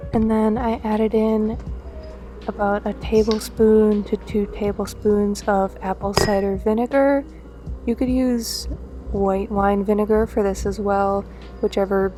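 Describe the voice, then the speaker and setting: Soft-spoken and monotone, a woman talks at a fairly slow pace with flat intonation and a medium pitch. Music is playing in the background. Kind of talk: casual talk to camera, cooking voiceover.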